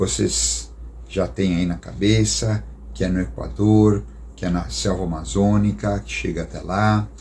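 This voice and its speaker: In a room with audible echo, a man speaks slowly in a very deep, low, somewhat breathy voice, his pitch swinging very widely. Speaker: missionary storyteller. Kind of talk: storytelling talk. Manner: casual, conversational.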